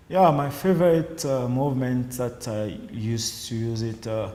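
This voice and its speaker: Audible room echo is present in the recording. A man speaks at a fairly slow pace with a medium pitch. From DR Congo. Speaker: judo athlete. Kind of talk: interview answers. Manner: halting, many fillers.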